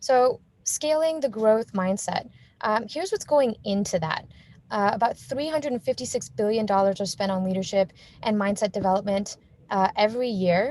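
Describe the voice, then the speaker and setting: The speaker is a woman with a fairly high pitch. She uses lively intonation. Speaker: conference speaker. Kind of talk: virtual conference presentation. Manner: fast; many filler words.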